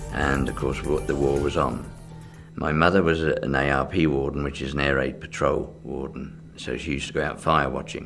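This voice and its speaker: Speaking at a moderate pace with an English accent, a man with a very deep, low pitch keeps his intonation fairly even. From England. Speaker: magician. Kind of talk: oral history interview answer.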